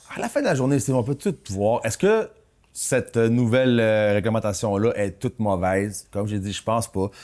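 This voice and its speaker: Medium pitch from a man, ordinary pitch variation, on a very clean recording with a silent background. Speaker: real estate broker and podcast co-host. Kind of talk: casual chat. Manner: fast.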